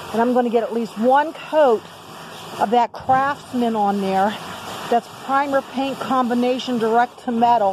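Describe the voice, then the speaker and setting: Over noticeable background noise, a woman with a high pitch talks at a fairly slow pace and with fairly even intonation. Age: 60s. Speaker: DIY video maker. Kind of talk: casual tutorial. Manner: casual, halting with fillers.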